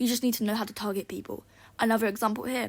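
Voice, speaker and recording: Fairly even intonation at a very fast pace. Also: woman. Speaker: gaming YouTuber. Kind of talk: casual gameplay commentary. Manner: sighing.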